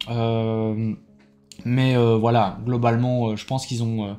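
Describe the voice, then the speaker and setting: The man's tone is dark and mellow. His voice sits at a medium pitch. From Belgium. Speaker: YouTuber, card game player. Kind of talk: casual vlog debrief. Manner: hesitant, many fillers.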